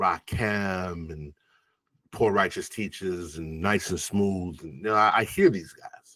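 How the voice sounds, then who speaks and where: Recorded very cleanly against a silent background, a man with an American accent speaks very slowly in a very deep, low voice. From Long Island, New York (West Indian household). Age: 40s. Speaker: rapper. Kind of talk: interview conversation. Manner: animated.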